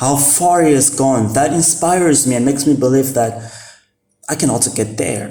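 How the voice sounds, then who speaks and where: A man talks at a moderate pace in a medium pitch with ordinary pitch variation, and some room echo can be heard. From Mozambique. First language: Portuguese. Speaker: vlogger. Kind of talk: casual talk to camera. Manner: halting, many fillers.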